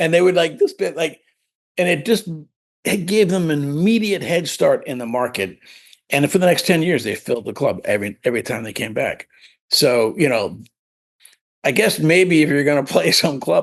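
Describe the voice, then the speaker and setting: A man's fairly high voice in an American accent, with vocal fry, very wide pitch swings, a moderate pace and long, frequent pauses. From Pennsylvania, Lancaster area. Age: 60s. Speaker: nightclub owner and music promoter. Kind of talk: podcast interview. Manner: halting, many fillers and restarts.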